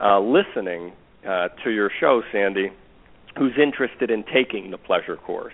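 A man talks with an American accent. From New York. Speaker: relationship teacher. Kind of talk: interview. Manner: halting.

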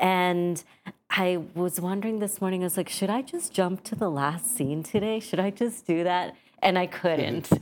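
A woman with a General American accent, medium pitch, ordinary pitch variation, a moderate pace, and an unremarkable speaking voice. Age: middle-aged. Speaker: playwright. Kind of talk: casual interview. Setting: studio.

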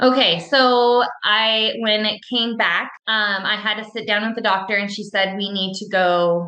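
A woman with an American accent and a normal speaking voice talks at a fairly slow pace and fairly high pitch, with fairly even intonation and hardly any pauses. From Washington State, US. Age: 40s. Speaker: cancer survivor and triathlete. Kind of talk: interview testimony.

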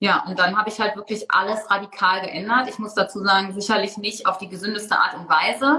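A woman speaks in an unremarkable speaking voice at a medium pitch. Her pace is fairly quick with hardly any pauses, her intonation fairly even and her loudness swinging widely. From Germany. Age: 30s. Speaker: blogger and author. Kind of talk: interview.

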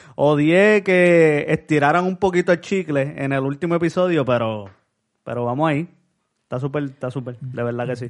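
Moderately paced, a man talks at a fairly high pitch. He has an unremarkable speaking voice and ordinary pitch variation. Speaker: podcast co-host. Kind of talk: casual chat.

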